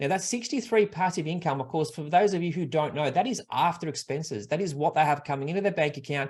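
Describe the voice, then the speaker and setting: The background is quiet. A man speaks in a somewhat breathy, fairly high voice with ordinary pitch variation. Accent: Australian. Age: 40s. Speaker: buyer's agent and property investment advisor. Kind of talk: online workshop presentation. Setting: live online webinar. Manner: fast.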